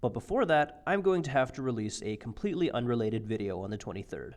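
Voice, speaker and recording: Vocal fry runs through this man's fairly quick speech. His pitch moves up and down very widely. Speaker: YouTuber, science and atheism commentator.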